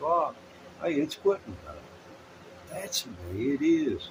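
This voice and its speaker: A man at a moderate pace with very wide pitch swings and noticeable background noise. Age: 60s. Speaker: amateur blues guitarist and livestreamer. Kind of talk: casual livestream chat. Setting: live stream from home.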